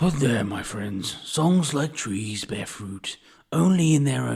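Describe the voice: A man uses a put-on character voice. He talks at a fairly slow pace and a medium pitch.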